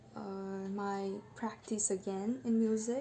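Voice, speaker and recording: Over noticeable background noise, a woman speaks at medium pitch in monotone, flat intonation. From Bengal. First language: Bengali. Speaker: vlogger sharing personal story. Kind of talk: personal testimony monologue. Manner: halting, with fillers.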